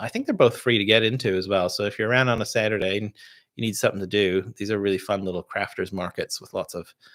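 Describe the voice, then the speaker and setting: A man with a fairly low pitch speaks at a very fast pace in an American accent. His intonation is fairly even, with big swings in loudness. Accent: sounds American. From Canada. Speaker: distiller and podcast host. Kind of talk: live stream whisky tasting chat. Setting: live stream. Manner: casual, filler-heavy.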